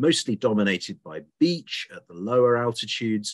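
The man's moderate-paced speech comes over a quiet background. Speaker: presenter. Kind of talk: lecture. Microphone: webcam.

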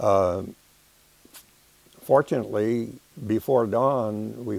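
In a dry recording with no echo, a man with an American accent speaks at a fairly low pitch with ordinary pitch variation. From Los Angeles, California. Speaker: war veteran. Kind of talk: oral history interview. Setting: studio. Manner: halting, many fillers. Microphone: lapel.

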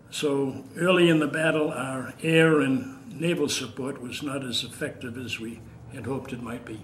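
A man with an American accent talks at a medium pitch with ordinary pitch variation and big swings in loudness. Audible room echo and noticeable background noise surround him. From Massachusetts (Waltham). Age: 80s+. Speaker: war veteran. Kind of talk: elder veteran's oral-history interview, recalling 1940s wartime combat. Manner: measured, unhurried recollection with frequent 'uh' hesitations; repeats words when searching, halting at emotional points.

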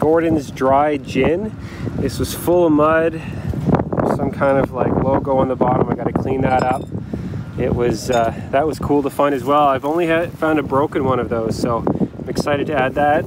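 Loud background noise sits behind a man speaking at a moderate pace. The sound itself is dry, with no echo. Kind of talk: casual vlog chat. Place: beach. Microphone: phone near.

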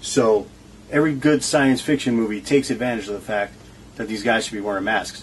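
Light background noise sits behind a man's voice. He speaks at a moderate pace with ordinary pitch variation. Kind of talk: tutorial. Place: workshop. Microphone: phone near.

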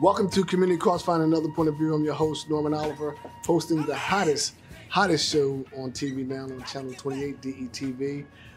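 A man talks at a very fast pace with fairly even intonation, faint music playing in the background. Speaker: TV talk show host. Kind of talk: show opening monologue. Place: studio.

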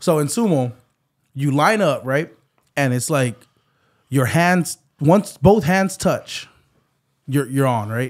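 The speech comes at a very slow pace. Long pauses show up frequently. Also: man, quiet background. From Hawaii. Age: 30s. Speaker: podcast host. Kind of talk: casual chat. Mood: relaxed, animated storytelling. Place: studio. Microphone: studio mic.

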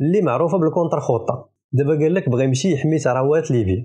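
A man with a Moroccan accent speaks at a fairly quick pace. His tone is dark and mellow and somewhat breathy. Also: quiet background. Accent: Moroccan Darija. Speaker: political commentator. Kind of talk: mocking political commentary. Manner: animated.

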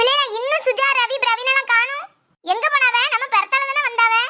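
A woman puts on a cartoonish character voice at an extremely high pitch. Her pace is moderate, her intonation fairly even, and her loudness very even. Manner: scolding, exasperated.

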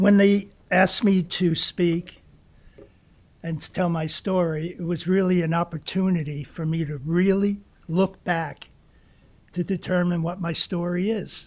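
At a fairly slow pace, a man with a high voice speaks with fairly even intonation. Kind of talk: personal testimony speech. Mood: warm, reflective. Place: hall. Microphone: podium.

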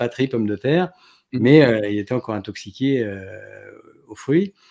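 A man speaks at medium pitch against a quiet background. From France, Grenoble (Alps); France. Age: 40s. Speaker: neurologist; interview guest. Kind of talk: casual chat. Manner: halting. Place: home room.

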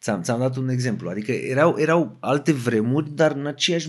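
Ordinary pitch variation and a fairly quick pace from an unremarkable speaking voice. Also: man. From Romania, Craiova (Oltenia). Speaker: rapper. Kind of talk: casual chat.

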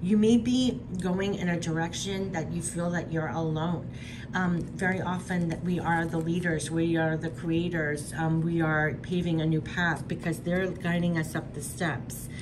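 A woman with fairly low pitch and fairly even intonation, audible room echo and noticeable background noise. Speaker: tarot and oracle card reader. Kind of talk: spiritual card reading monologue.

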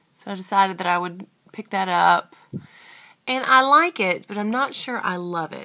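Against a quiet background, a woman with a medium-pitched voice and a bright, sharp tone speaks at a moderate pace. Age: 30s. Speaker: beauty vlogger. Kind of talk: makeup tutorial. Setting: at home by a window. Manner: casual, hesitant with fillers. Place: home room. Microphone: webcam.

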